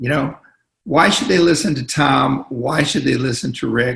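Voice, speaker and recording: Vocal fry runs through this man's bright, sharp voice, which sits fairly high in pitch and varies in an ordinary way. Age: 70s. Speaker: business mentor and coach. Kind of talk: casual interview.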